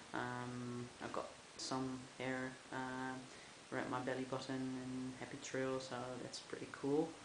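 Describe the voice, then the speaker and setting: Audible room echo surrounds a man who talks slowly, at a medium pitch. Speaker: vlogger. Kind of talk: video diary. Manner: halting, many fillers.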